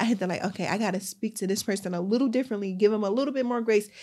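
At a very fast pace, a woman talks at a medium pitch in a dark, mellow tone with fairly even intonation. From West Philadelphia. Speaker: fashion entrepreneur. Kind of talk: casual interview.

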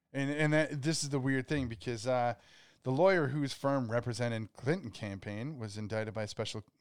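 A man's medium-pitched voice at a fairly quick pace, ordinary pitch variation, and a very clean recording with a silent background. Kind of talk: casual chat. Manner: animated.

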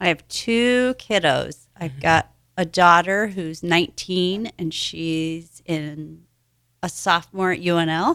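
With a Midwestern US accent, a woman speaks at a very slow pace in a fairly low pitch with ordinary pitch variation. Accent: US Midwest. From Nebraska (Hastings). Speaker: gym member, breast cancer survivor. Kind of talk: radio interview. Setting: radio studio.

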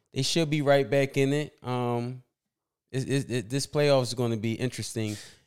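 On a very clean recording with a silent background, a man with an American accent speaks in an unremarkable speaking voice at a medium pitch, a moderate pace and fairly even intonation. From Philadelphia, US. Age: 30s. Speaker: basketball fan guest. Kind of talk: casual chat.

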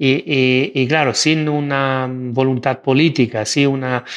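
A man with an Italian accent at a fairly slow pace, monotone and flat in intonation, against a quiet background. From Italy. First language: Italian (speaking Spanish). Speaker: AI and digital governance expert. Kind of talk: interview. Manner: halting, many fillers and repetitions.

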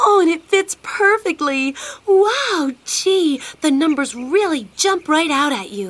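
Putting on a character voice, a woman speaks fairly slowly at an extremely high pitch with very wide pitch swings. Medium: audio drama.

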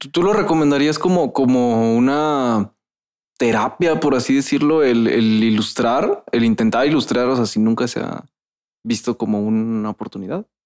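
A man talks at a moderate pace and medium pitch in a normal speaking voice, with ordinary pitch variation. The recording is very clean with a silent background. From Veracruz, Mexico. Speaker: podcast host. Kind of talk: casual chat. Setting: studio. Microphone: echo in the room.

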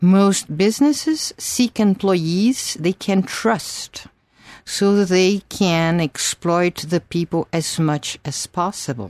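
With a Brazilian accent, a woman speaks very slowly at a medium pitch with lively intonation, in a dry, close sound with no echo and a quiet background. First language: Portuguese. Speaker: doctor and teacher of an analytical school. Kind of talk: interview.

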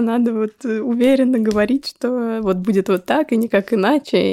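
A woman's fairly high voice with vocal fry, dry and close-miked with no echo. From Moscow, Russia. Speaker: psychologist and startup co-founder. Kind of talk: interview.

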